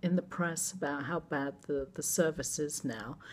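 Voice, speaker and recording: A woman with an English accent talks at a fairly slow pace. The recording is very clean, with a silent background. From England. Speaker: vlogger. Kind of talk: casual vlog monologue.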